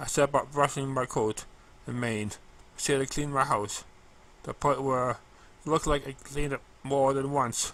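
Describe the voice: Simple, plain reading of a text aloud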